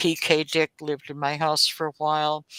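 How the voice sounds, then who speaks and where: In an American accent, a woman talks at a moderate pace with a very deep, low pitch, a bright, sharp tone, and monotone, flat intonation, captured in a dry, close sound with no echo on a very clean recording with a silent background. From Oklahoma. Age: 70s. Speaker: author. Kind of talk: interview.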